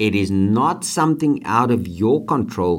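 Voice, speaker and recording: A man's fairly low voice with lively intonation at a fairly slow pace, on a very clean recording with a silent background. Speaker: podcast host and motivational teacher. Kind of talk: motivational talk with co-host. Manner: animated.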